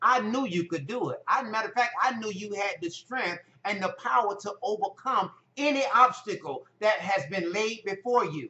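A man talks at a moderate pace in a high pitch, with ordinary pitch variation. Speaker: health motivation vlogger. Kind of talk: motivational vlog talk. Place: home room. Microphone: phone near.

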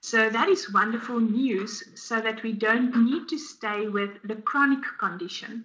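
Against a quiet background, a woman with a South African accent speaks at a very slow pace in a fairly high pitch, her tone bright and sharp, with ordinary pitch variation. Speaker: dietitian; guest. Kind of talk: webinar presentation. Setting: online webinar. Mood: warm, earnest. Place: home room.

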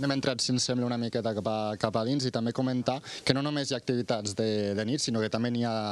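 A man with a medium-pitched voice speaks at a very fast pace with fairly even intonation in a dry recording with no echo. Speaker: TV reporter. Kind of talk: live field report. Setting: outdoors. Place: open country. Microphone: handheld.

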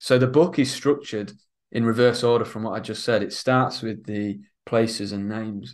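A man with a Lincolnshire accent speaks at a moderate pace in a flat monotone over a quiet background. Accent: northern English (Lincolnshire). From northern England, Isle of Axholme, north Lincolnshire; northern England. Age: young. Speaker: author and historian; interviewee. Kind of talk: interview. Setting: studio, in person. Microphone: video call.

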